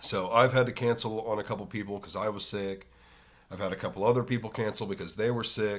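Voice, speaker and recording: A man talks at a very fast pace in a fairly low voice. His intonation is monotone and flat. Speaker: podcast host. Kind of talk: solo podcast monologue. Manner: casual, filler words.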